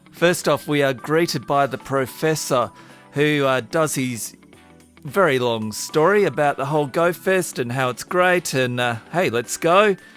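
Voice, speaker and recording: Music plays behind a man with an Australian accent and an upbeat tone. He talks at a fairly slow pace with a fairly high pitch and ordinary pitch variation. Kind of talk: casual gameplay commentary.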